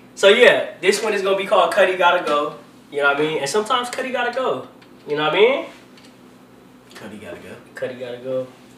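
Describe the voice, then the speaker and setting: Over noticeable background noise, a man talks very fast in a high pitch with very wide pitch swings and long, frequent pauses. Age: 20s. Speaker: podcast host. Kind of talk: casual chat. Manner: animated.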